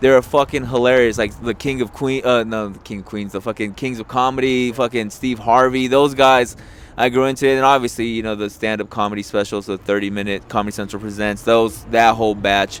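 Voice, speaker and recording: With a Spanish accent, a man of medium pitch talks at a fairly quick pace with hardly any pauses. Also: fairly even intonation. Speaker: podcast host and comedian. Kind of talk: casual chat.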